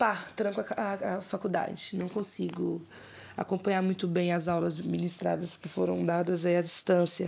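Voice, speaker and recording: A woman speaks in a normal speaking voice at medium pitch. Her pace is moderate and her intonation lively. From Minas Gerais, Brazil (Ouro Preto area). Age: 20s. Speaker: rapper. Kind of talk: casual interview.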